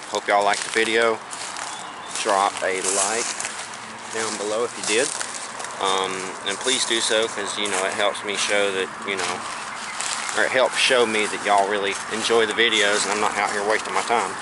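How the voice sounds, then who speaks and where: A man speaks at a moderate pace with long, frequent pauses, his voice dry with no echo over loud background noise. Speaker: explorer vlogger. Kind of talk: casual vlog chat. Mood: slightly uneasy, winding down. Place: open country. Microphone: phone near.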